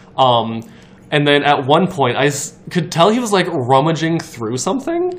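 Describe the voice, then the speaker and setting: The delivery moves at a moderate pace with lively intonation. Noticeable background noise sits behind the voice. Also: man. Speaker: podcast guest. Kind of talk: casual chat.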